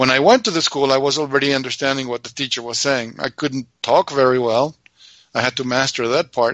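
The speaker has an Argentine accent and a fairly quick pace. The intonation stays fairly even. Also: man. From Argentina. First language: Spanish. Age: 60s. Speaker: radio show co-host. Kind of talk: casual chat.

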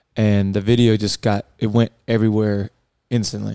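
On a very clean recording with a silent background, a man's dark, mellow voice comes through in a monotone, flat intonation with a dry, close sound and no echo. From South Carolina (Columbia), US South. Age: 20s. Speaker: podcast host, coach. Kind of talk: casual serious discussion.

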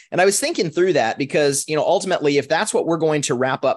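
Using lively intonation, a man with an American accent speaks at a fairly high pitch. He has an ordinary speaking voice, heard over a quiet background. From Minnesota. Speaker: podcast co-host. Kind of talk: casual discussion.

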